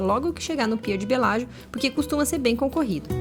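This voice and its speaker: Talking at a very fast pace with lively intonation, a woman with a Brazilian accent is heard over noticeable background noise. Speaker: travel vlogger. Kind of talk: casual vlog talk; travel vlog narration. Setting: on a train. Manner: soft-spoken.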